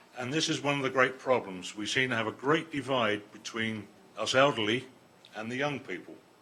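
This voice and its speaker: Noticeable background noise behind a man's fairly quick delivery with ordinary pitch variation. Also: medium pitch for a man. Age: 70s. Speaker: resident speaking at council meeting. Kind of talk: public comment.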